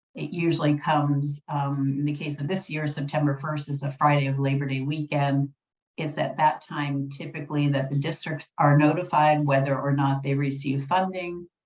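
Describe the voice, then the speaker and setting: Somewhat breathy, a woman with a very deep, low pitch speaks in a monotone, flat intonation at a moderate pace with hardly any pauses. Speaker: policy analyst presenting at a webinar. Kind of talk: webinar presentation.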